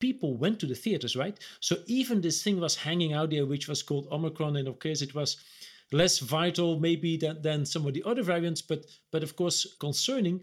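A man with a fairly high pitch talks at a fairly quick pace in an unremarkable speaking voice with ordinary pitch variation. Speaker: business executive co-host. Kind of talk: interview. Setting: video call.

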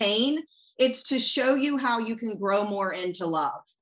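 The speaker has a normal speaking voice. The intonation is lively. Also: woman. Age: 40s. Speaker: business coach. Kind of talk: casual chat.

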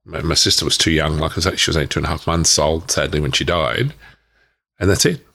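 A man's very deep, low voice with an Australian accent, on a very clean recording with a silent background. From Victoria, Australia (Myrtleford, Wodonga). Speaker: author and speaker on trauma healing. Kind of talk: interview testimony. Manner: halting.

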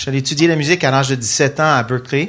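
A man talks with a Quebec accent. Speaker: worship leader and musician. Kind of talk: panel discussion. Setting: stage with audience.

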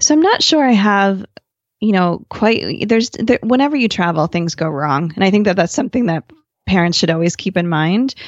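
With a normal speaking voice, a woman of medium pitch talks at a moderate pace in an American accent, her loudness very even. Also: lively intonation. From New Jersey. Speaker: family travel blogger and podcaster. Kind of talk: interview conversation.

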